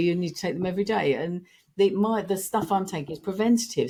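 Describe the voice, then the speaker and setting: This woman has a British accent and a fairly low voice. She speaks at a fairly quick pace. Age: 60s. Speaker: founder of a vitamin company. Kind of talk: podcast interview.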